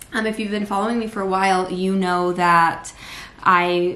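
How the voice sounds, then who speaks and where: A woman speaks in a fairly low pitch with monotone, flat intonation at a fairly quick pace, with audible room echo and light background noise. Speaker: vlogger. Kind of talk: casual vlog chat. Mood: earnest, reflective. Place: kitchen. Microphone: phone near.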